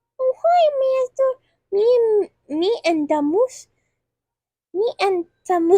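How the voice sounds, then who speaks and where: A squeaky, put-on character voice sits at an extremely high pitch. It moves at a fairly slow pace with long, frequent pauses. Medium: read story. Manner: giggly, childish.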